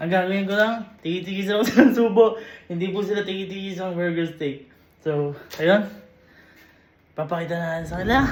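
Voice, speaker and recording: Amid noticeable background noise and audible room echo, a man speaks at a fairly quick pace and a high pitch, with ordinary pitch variation and long, frequent pauses. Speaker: vlogger. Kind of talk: casual vlog talk. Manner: animated.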